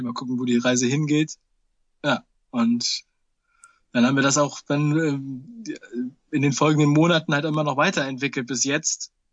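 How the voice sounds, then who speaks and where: Long, frequent pauses break up a man's fairly slow speech. His pitch is fairly high, his intonation fairly even. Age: 30s. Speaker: film producer and YouTuber. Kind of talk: casual interview.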